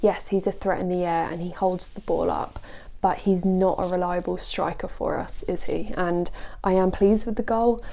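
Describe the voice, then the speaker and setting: Soft-spoken and flat in intonation, a woman speaks in a dark, mellow tone. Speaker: football vlogger. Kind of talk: casual video commentary.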